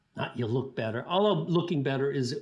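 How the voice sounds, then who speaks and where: Pitch swings very widely as a man talks in a somewhat breathy voice. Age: 60s. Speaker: sports scientist. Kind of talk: interview. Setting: podcast. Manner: casual, with frequent fillers and restarts.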